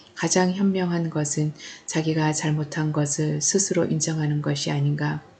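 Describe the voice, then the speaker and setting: This woman's voice sits very deep and low, dark and mellow, and somewhat breathy. She talks at a fairly slow pace with monotone, flat intonation. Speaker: audiobook narrator. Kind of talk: novel reading.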